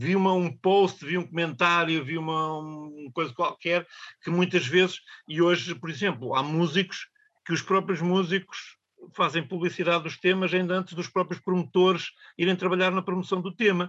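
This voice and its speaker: Speaking at a moderate pace, a man keeps his intonation fairly even, his voice high-pitched for a man. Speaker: radio presenter. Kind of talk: casual chat. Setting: studio.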